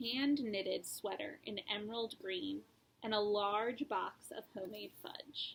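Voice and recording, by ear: This is reading aloud. It comes in a natural voice.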